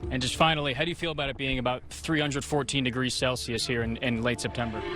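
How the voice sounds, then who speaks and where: Music plays in the background. Over it, a man speaks very fast at a medium pitch. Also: ordinary pitch variation. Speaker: sports anchor and reporter. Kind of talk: field reporter news package narration.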